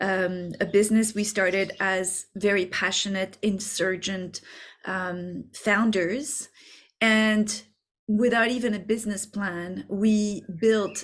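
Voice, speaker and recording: With a French accent, a woman speaks at a very slow pace with a medium pitch and fairly even intonation. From France. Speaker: business coach. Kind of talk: masterclass. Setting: video recording. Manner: halting.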